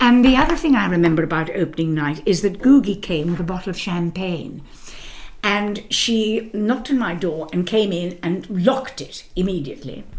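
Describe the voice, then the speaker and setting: A woman's medium-pitched voice with lively intonation at a moderate pace, noticeable background noise behind her. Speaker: musical theatre actress. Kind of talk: interview.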